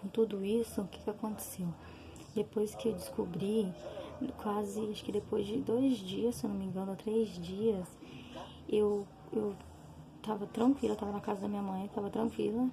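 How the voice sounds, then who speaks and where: A soft-spoken woman at a moderate pace. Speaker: vlogger sharing personal health experience. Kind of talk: personal testimony. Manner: soft-spoken, talking quietly; hesitant, many fillers.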